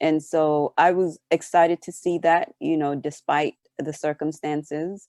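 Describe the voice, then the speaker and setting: The dark, mellow voice speaks in a monotone, flat intonation, with a dry, close sound and no echo. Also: woman, very deep, low pitch for a woman, fairly slow pace. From St. Vincent and the Grenadines. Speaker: relief organizer. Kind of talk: interview. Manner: hesitant, many fillers.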